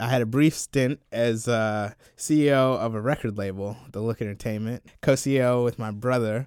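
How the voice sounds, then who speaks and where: In a very clean recording with a silent background, a man with an American accent uses a plain, everyday voice, dry and close with no echo, at a moderate pace with fairly even intonation and hardly any pauses. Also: medium pitch for a man. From US South, Columbia, South Carolina. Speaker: video producer and film critic. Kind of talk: casual chat. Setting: studio.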